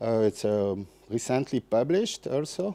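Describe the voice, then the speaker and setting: A man in a French accent speaks with a medium pitch and a dark, mellow tone. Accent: French accent, apologizes for English. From France. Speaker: festival seminar speaker on soil and ecology. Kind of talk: lecture. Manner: halting, many fillers and restarts.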